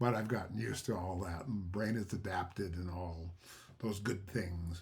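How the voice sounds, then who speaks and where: A man with a very deep, low pitch talks at a moderate pace, sounding somewhat breathy with ordinary pitch variation. Audible room echo surrounds his voice. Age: 70s. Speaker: hearing aid customer. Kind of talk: testimonial. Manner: halting, many fillers.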